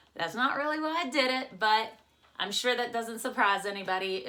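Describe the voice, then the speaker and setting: A woman with an American accent speaks in an animated tone at a fairly high pitch, with lively intonation and a fairly quick pace. Audible room echo surrounds her voice. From West Virginia, US. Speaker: YouTuber. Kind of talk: casual vlog intro. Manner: chatty.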